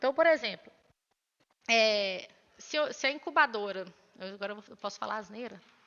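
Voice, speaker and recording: A woman with lively intonation. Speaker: lecturer. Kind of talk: lecture. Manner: fast.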